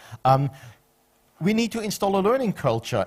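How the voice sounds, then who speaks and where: In a very clean recording with a silent background, a man with a Flemish accent speaks at a moderate pace with very wide pitch swings. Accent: Flemish Belgian Dutch accent in English. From Belgium, Flanders (Ghent). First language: Dutch. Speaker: conference speaker on public administration. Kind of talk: conference presentation.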